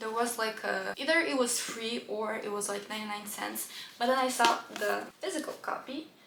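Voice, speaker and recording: A woman with a non-native accent and a fairly high pitch, speaking at a fairly quick pace amid audible room echo and noticeable background noise. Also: ordinary pitch variation. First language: not English. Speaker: book youtuber. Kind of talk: casual book haul chat. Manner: animated.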